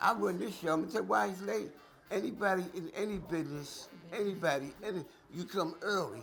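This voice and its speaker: A man's high-pitched voice at a fairly quick pace, lively in intonation, with audible room echo. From Philadelphia, US. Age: 70s. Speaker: jazz promoter. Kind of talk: casual chat.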